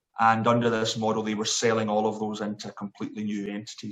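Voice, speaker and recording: A man with a Scottish accent, fairly low pitch, and a fairly quick pace. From Scotland, Glasgow. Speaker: sports event chief executive. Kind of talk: interview. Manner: hesitant, many fillers.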